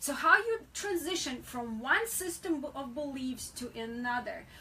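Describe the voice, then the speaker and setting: A woman's raised, projected voice, high in pitch with a bright, sharp tone, lively intonation and a fairly slow pace. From Soviet Union. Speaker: co-host of faith-based talk show. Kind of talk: religious talk show conversation.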